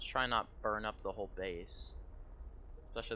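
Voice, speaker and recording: A quiet man's voice at a fairly quick pace. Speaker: gaming streamer. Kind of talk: live gameplay commentary. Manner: casual.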